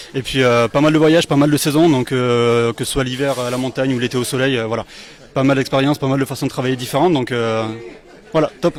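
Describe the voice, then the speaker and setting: Fairly even intonation carries speech that runs at a fairly quick pace. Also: man. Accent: southern French. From France, Lozère (southern Massif Central). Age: 30s. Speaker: bar owner. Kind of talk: interview.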